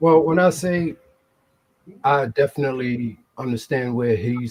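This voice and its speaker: A man talks with a New York accent. His voice is somewhat breathy. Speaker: formerly incarcerated guest. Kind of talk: casual chat.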